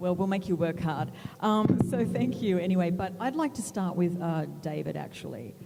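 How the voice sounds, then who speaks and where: Against noticeable background noise, a woman with an Australian accent talks at a moderate pace. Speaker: moderator, magazine editor. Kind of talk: panel moderation.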